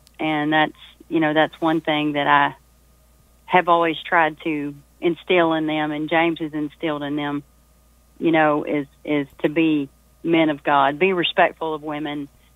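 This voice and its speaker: Speaking at a fairly slow pace, a woman has a very deep, low pitch and a monotone, flat intonation. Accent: Southern US. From Texas. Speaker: singer-songwriter. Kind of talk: casual interview.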